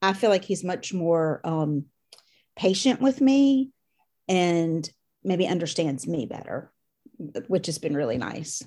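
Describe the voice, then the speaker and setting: A woman with a Southern US accent, dark, mellow tone and lively intonation at a very slow pace, on a very clean recording with a silent background. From US South, Louisiana and Mississippi. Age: 50s. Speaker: course participant, mother. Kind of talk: interview.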